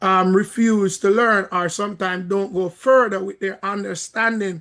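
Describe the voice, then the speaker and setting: In a Jamaican accent, a man with a high pitch and a bright, sharp tone speaks in a monotone, flat intonation over a quiet background. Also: moderate pace. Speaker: credit repair coach and minister. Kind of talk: video call Q&A, teaching. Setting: video call.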